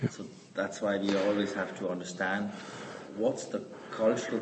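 Noticeable background noise and audible room echo surround a man speaking at a fairly slow pace. His pitch is fairly low, with fairly even intonation. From Switzerland. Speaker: Bible study participant. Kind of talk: group discussion.

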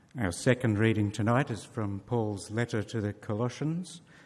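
A man talks in an ordinary speaking voice at a moderate pace. His pitch is fairly low, with ordinary pitch variation. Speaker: scripture reader. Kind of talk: reading aloud. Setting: church.

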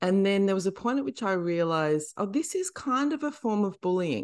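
Against a quiet background, a woman with an Australian accent talks at a moderate pace with lively intonation. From Western Australia, country town. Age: 40s. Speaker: comedian and author. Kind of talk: casual chat.

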